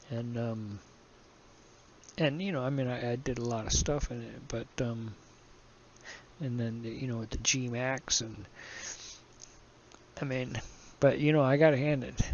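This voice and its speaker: Speaking at a fairly slow pace with long, frequent pauses, a man keeps a medium pitch and fairly even intonation. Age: 60s. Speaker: flight simulator hobbyist, video tutorial maker. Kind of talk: tutorial. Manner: halting, many fillers; casual, conversational.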